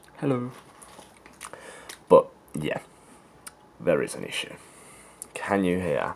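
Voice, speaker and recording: With a British accent, a man talks at a fairly slow pace with long, frequent pauses and big swings in loudness over noticeable background noise. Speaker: vape reviewer. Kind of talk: product review. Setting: outdoors. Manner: casual.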